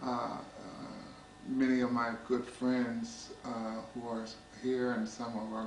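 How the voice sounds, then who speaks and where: Through noticeable background noise, a man with an American accent speaks very slowly in a monotone, flat intonation. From US. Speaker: poetry reader. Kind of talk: poetry reading, measured and intimate, read aloud from an anthology. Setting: small private gathering of friends. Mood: calm, tender, measured. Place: home room. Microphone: old recording.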